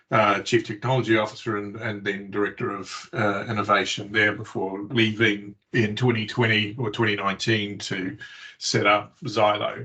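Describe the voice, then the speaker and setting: A man talks in a New Zealand accent with a fairly low pitch. His tone is bright and sharp, and his intonation is flat and monotone. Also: moderate pace, hardly any pauses. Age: 50s. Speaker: tech company CEO. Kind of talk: interview. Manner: hesitant, many fillers.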